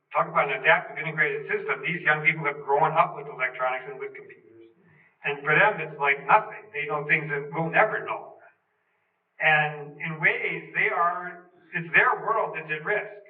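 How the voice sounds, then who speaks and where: A normal speaking voice moves at a moderate pace, with ordinary pitch variation and big swings in loudness. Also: man, fairly high pitch for a man. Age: 60s. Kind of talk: talk in a group discussion.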